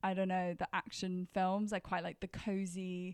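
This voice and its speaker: A woman with a British accent speaks at a medium pitch on a very clean recording with a silent background. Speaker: podcast host. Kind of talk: casual chat.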